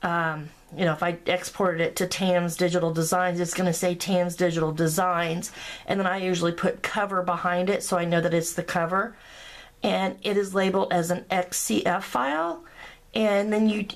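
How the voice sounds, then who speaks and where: A woman with a plain, everyday voice talks at a moderate pace in a fairly low pitch, with fairly even intonation and very even loudness. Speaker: graphic design tutorial maker. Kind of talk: screen-recorded software tutorial. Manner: casual, filler-heavy.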